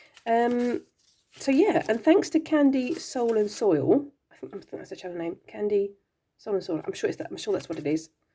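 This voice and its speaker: A woman speaks with a fairly high pitch. Her pitch swings very widely, and her loudness rises and falls a lot. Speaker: craft and spirituality vlogger. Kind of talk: casual show-and-tell vlog. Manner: halting, many fillers and restarts; fast.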